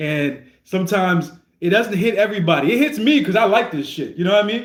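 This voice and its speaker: This man talks at a very fast pace in a high pitch, his intonation lively. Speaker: streamer reacting to rap music. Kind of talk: casual livestream commentary. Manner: stuttering, repeats words.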